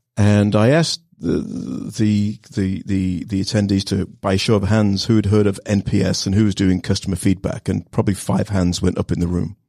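With hardly any pauses, a man with a dark, mellow tone talks at a moderate pace and ordinary pitch variation. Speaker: startup founder. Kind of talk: casual interview. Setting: studio.

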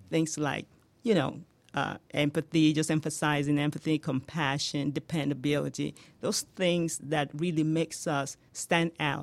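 A woman's very deep, low voice in a Nigerian accent, monotone and flat, at a fairly slow pace on a very clean recording with a silent background. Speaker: home healthcare business owner. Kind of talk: radio interview. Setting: studio.

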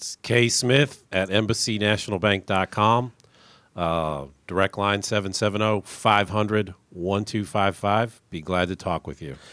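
On a very clean recording with a silent background, a man with an unremarkable speaking voice talks fairly slowly at a fairly low pitch with ordinary pitch variation. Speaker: bank loan officer. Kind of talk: business radio interview. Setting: studio.

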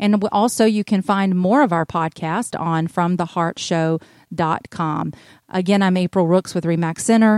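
A woman with a Southern US accent talks at a moderate pace and medium pitch with fairly even intonation, the sound dry and close with no echo on a very clean recording with a silent background. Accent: Southern US (Georgia). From US South, North Georgia. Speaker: real estate agent and radio show host. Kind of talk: casual chat.

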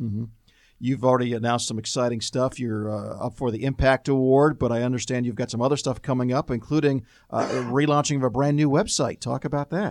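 A man talks at a very fast pace. His pitch is medium, and his intonation stays fairly even. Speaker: radio host. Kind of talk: business radio interview. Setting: studio.

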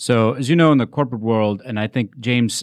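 A man at a very fast pace with fairly even intonation, in a dry, close sound with no echo. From India. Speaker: corporate IT executive. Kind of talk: radio interview. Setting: studio.

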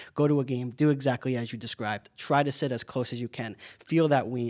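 Using a normal speaking voice, a man talks at a fairly quick pace and medium pitch with ordinary pitch variation, in a very clean recording with a silent background. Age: 20s. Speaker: hockey play-by-play broadcaster. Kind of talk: casual interview. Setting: radio studio.

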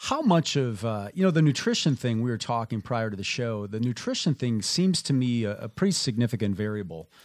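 With a plain, everyday voice and an American accent, the speaker uses lively intonation. The pace is fairly quick, with hardly any pauses. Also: man, medium pitch for a man. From Minnesota. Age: 50s. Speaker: radio host. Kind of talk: radio interview. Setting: radio studio.

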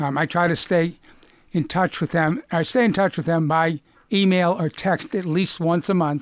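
The speaker talks with a Boston accent at a moderate pace, keeping the loudness very even. The recording is very clean, with a silent background. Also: man, high pitch for a man, fairly even intonation. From Lexington, Massachusetts. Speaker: cancer survivor and author. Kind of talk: casual interview.

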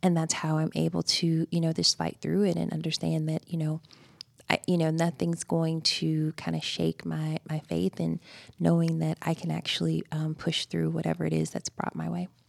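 The speaker has a Georgia accent. The sound is dry and close with no echo, on a very clean recording with a silent background. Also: woman, moderate pace. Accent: Southern American (Georgia). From US South, rural Georgia. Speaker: human resources executive. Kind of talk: radio interview. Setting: studio.

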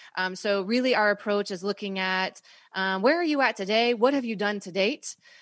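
With a plain, everyday voice, a woman speaks in an American accent at a moderate pace and medium pitch, with ordinary pitch variation, over a quiet background. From US South, North Carolina. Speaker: marketing consultant, business owner. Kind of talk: interview. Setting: radio studio.

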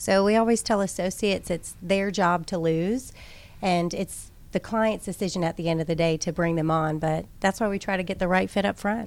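Using an ordinary speaking voice, a woman talks at a moderate pace with a medium pitch and fairly even intonation. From Minnesota and Georgia (moved as child). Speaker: staffing agency operations director. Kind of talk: radio interview. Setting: radio studio.

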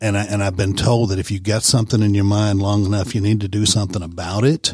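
A man with a Southern US accent speaks at a fairly low pitch, somewhat breathy, with fairly even intonation. The recording is very clean with a silent background. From Georgia (Warner Robins). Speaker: filmmaker. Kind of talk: interview. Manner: halting, many fillers.

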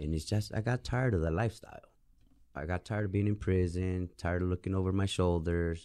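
At a very fast pace, a man speaks with a very deep, low pitch, a dark, mellow tone, and ordinary pitch variation. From Tucson, Arizona, with time in Mexico. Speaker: probationer, former drug smuggler. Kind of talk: interview.

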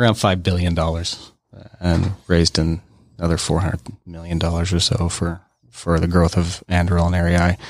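This man has a very deep, low pitch and talks at a moderate pace. His intonation is monotone and flat, with very even loudness. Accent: American. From Utah. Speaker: aerospace company co-founder. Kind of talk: interview.

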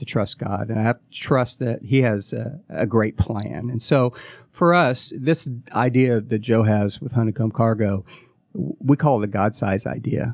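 An unremarkable speaking voice from a man, medium in pitch, at a fairly slow pace with ordinary pitch variation. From US Midwest. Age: 40s. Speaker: startup COO and former touring musician. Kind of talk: interview. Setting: radio studio.

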